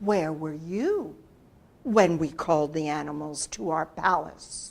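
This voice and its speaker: A woman puts on a character voice pitched very deep and low, speaking at a fairly slow pace. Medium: read story. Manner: stately, formal.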